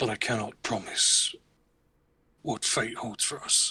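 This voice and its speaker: A man uses a put-on character voice that is raspy, at medium pitch. He talks at a fairly slow pace. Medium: actual play. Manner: formal, measured, no contractions.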